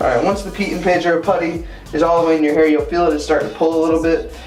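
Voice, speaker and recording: Music plays in the background as a man talks in a fairly high-pitched voice, with audible room echo. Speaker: men's grooming YouTuber. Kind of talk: tutorial. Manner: fast.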